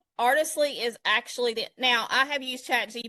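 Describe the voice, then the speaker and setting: Against a quiet background, a woman with a Southern US accent speaks at a moderate pace. Her tone is bright and sharp, and her pitch varies in an ordinary way. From South Georgia, US. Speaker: digital design expert. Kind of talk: live tutorial.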